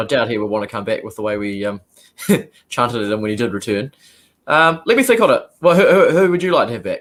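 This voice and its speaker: A man with a New Zealand accent talks very fast yet with long, frequent pauses. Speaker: sports podcast co-host. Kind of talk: sports podcast discussion.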